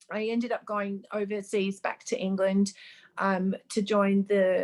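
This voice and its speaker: A woman's monotone, flat intonation at a fairly slow pace. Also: medium pitch for a woman. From Australia. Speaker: makeup artist. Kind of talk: interview. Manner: hesitant, many fillers.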